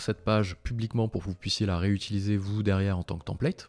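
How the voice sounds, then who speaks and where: At a very fast pace, a man speaks in a fairly low pitch with a dark, mellow tone, the sound dry and close with no echo. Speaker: software tools tutorial creator. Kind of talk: live screen-share tutorial. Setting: live stream. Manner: casual, conversational.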